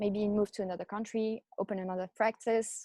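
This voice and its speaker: In a French accent, the speaker holds a monotone, flat intonation, recorded with a dry, close sound and no echo. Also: woman. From France. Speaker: chiropractor, practice owner. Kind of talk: casual interview.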